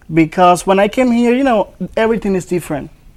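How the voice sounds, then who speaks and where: This man has a Dominican accent. His pitch varies in an ordinary way. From Dominican Republic. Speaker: ESL program student. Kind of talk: interview.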